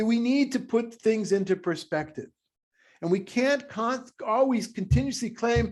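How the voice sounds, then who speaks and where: Loud and passionate, a man talks at a moderate pace with lively intonation. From Israel. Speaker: rabbi. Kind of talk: discussion meeting. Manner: halting, many repetitions; loud, passionate.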